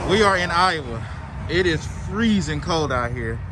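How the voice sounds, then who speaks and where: A man with an American accent and ordinary pitch variation, over noticeable background noise. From Texas. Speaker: truck driver vlogger. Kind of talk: casual vlog monologue. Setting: outdoors in freezing cold. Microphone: muffled by face covering.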